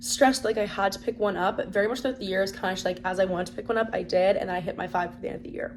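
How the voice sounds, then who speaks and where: A woman speaks at a very fast pace with an animated tone. Her medium pitch carries vocal fry and ordinary pitch variation. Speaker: book vlogger. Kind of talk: casual chat.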